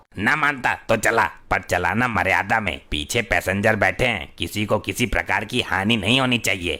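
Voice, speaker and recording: A man does a cartoonish character voice in a fairly low pitch with ordinary pitch variation. He keeps very even loudness and hardly any pauses. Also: moderate pace. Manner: loud, brash.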